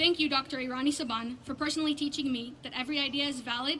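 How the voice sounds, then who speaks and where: A woman with a high pitch speaks at a very fast pace in a raised, projected voice with fairly even intonation, over noticeable background noise. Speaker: graduating student speaker. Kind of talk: graduation speech.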